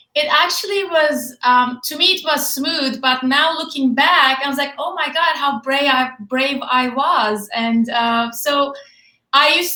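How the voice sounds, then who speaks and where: A woman projects her high, bright and sharp voice. She talks at a moderate pace with ordinary pitch variation. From Turkey. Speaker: fitness and nutrition expert. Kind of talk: interview. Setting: Facebook live video call.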